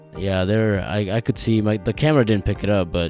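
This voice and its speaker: A man speaks at a fairly slow pace with ordinary pitch variation, his voice dry with no echo while clear music plays in the background. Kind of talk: casual vlog chat. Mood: amused, wry. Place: car. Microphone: phone near.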